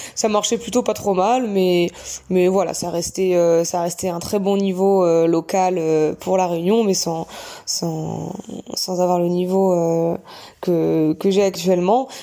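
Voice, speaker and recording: A woman talks at a very slow pace in a medium-pitched voice. Her tone is dark and mellow, and her intonation fairly even. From Normandy, France (Bayeux). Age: 30s. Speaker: gynecologist and trail runner. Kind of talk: interview. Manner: halting.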